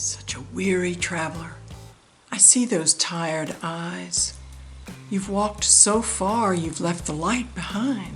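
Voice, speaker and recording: A woman talks at a very slow pace while music plays behind her. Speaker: poetry reader. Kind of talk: poetry reading.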